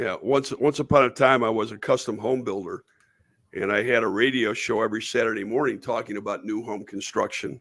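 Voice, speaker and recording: With a northern US accent, the speaker talks at a fairly quick pace with fairly even intonation on a very clean recording with a silent background. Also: man, medium pitch for a man. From western New York. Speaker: podcast host. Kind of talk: casual interview chat.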